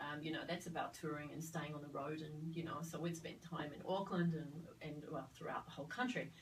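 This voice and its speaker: A woman speaks in a very deep, low voice with fairly even intonation. Audible room echo and noticeable background noise surround her. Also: fairly quick pace. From Australia (Sydney). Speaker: midwife, former theatre worker. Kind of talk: interview conversation. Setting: studio. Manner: hesitant, many fillers.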